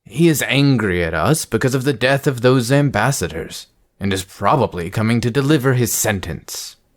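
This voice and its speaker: In a put-on character voice, a man speaks at a medium pitch and moderate pace on a very clean recording with a silent background. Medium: read story. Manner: commanding, authoritative.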